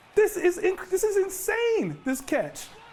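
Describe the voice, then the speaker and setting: A man's energetic tone at a moderate pace, with music in the background. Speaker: sports reporter. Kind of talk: live studio sports analysis with opinion. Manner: energetic, emphatic, conversational.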